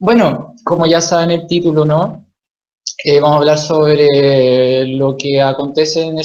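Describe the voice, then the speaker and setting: A man's voice sits at a fairly high pitch. He talks at a fairly slow pace. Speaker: author and psychoanalysis lecturer. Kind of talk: lecture.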